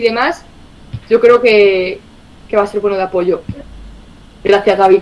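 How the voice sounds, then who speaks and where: In an Andalusian accent, a woman talks at a fairly quick pace. Her tone is animated, with ordinary pitch variation. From Andalusia, Spain. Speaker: communications director of a cooperative federation. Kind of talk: online presentation.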